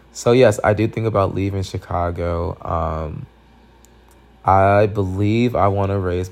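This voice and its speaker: A man with an ordinary speaking voice talks at a fairly slow pace, his fairly low pitch showing ordinary pitch variation. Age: 20s. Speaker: podcast host. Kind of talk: casual Q&A monologue. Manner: casual with frequent fillers.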